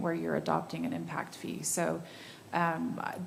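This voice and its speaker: A woman with a fairly low pitch speaks at a moderate pace, with audible room echo and noticeable background noise. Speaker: city staff member. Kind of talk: public meeting discussion. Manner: halting.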